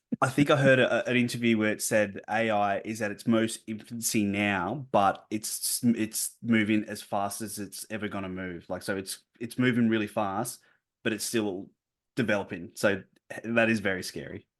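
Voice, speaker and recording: Spoken at a moderate pace against a quiet background. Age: 30s. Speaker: podcast host. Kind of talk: casual chat.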